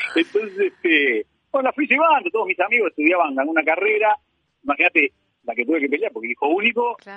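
A man talks very fast with a Uruguayan accent. His pitch is high and swings very widely. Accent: Rioplatense Spanish (Uruguayan). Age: 50s. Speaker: painter. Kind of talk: interview. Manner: halting, many repetitions and fillers.

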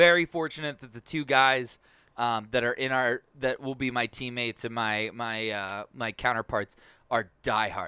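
A man with an American accent talks at a moderate pace and medium pitch, with ordinary pitch variation and a bright, sharp tone. The very clean recording has a dry, close sound with no echo and a silent background. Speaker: podcast producer and co-host. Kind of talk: casual chat. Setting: studio.

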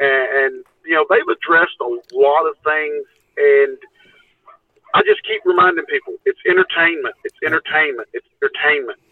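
A man speaks at a moderate pace. His loudness swings a lot. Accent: Texan. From Texas. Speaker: Bigfoot researcher and TV show participant. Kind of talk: casual chat.

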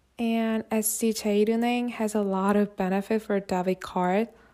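At a fairly slow pace, a woman talks with a fairly high pitch and fairly even intonation. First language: Korean. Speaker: solo podcaster, student. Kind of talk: scripted solo monologue.

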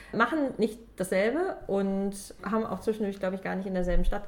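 With noticeable background noise behind her, a woman speaks at a moderate pace in a medium pitch with lively intonation. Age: 20s. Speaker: podcast host, book enthusiast. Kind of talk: casual chat.

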